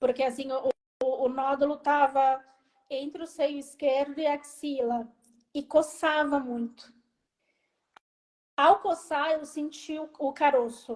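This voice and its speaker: Using long, frequent pauses, a woman speaks at a very slow pace and a high pitch with fairly even intonation. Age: 40s. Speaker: cancer survivor. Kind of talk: testimony.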